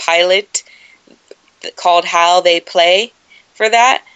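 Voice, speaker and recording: With an American accent, a woman speaks at medium pitch. Her pace is fairly slow and her intonation fairly even. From Southern California (San Dimas, San Gabriel Valley). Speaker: sports journalist and producer. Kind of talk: interview, casual chat.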